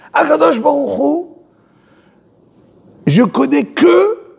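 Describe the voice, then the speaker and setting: A man's voice amid noticeable background noise. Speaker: religious teacher. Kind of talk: religious lecture. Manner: slow, repetitive.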